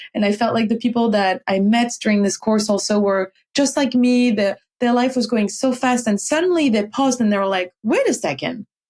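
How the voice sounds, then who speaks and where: This woman has a French accent and a fairly high pitch with ordinary variation. She talks at a fairly quick pace with very even loudness. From France. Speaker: meditation teacher. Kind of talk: interview conversation. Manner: halting, with fillers; animated.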